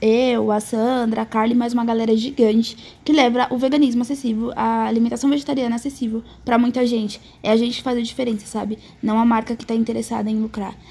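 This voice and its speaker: Speaking at a very fast pace, a woman has a fairly high pitch and a dark, mellow tone. Her intonation is monotone and flat. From Brazil, Salvador (Bahia). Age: 20s. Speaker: law student and vegan content creator. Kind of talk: casual panel discussion.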